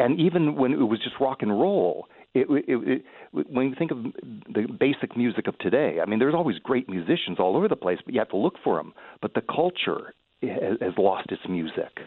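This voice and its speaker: Speech comes at a fairly quick pace, with very wide swings in pitch. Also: man, medium pitch for a man. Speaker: caller. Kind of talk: talk radio call. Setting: phone call.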